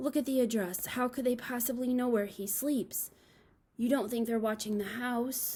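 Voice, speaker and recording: Using a put-on character voice, a woman speaks at a high pitch and a moderate pace. Her voice is shaky. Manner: frightened, quivering.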